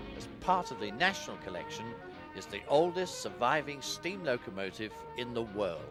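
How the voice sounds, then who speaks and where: Music plays in the background as a man of medium pitch speaks at a moderate pace, with very wide pitch swings and big swings in loudness. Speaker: railway film historian. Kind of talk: documentary introduction and narration.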